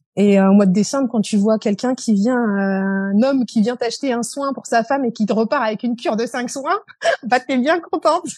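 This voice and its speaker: Fairly high for a woman, a plain, everyday voice, with ordinary pitch variation and a moderate pace. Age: 40s. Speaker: beautician running her own salon. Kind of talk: testimony.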